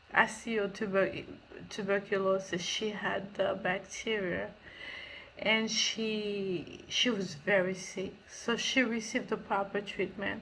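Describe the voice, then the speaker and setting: A woman speaks very slowly in a flat monotone at a medium pitch. The room echo is audible. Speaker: charity founder. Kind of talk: recorded thank-you message. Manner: halting.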